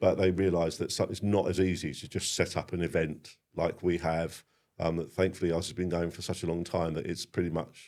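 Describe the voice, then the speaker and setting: A man speaks at a fairly quick clip. His very deep voice stays monotone and flat. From Sussex, England. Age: 50s. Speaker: bonfire society member and former chairman. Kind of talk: podcast interview. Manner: hesitant, many fillers.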